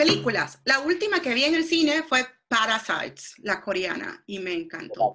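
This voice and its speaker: A woman's high-pitched, raised, projected voice with very wide pitch swings, at a moderate pace. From Venezuela. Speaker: psychologist. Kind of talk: casual interview.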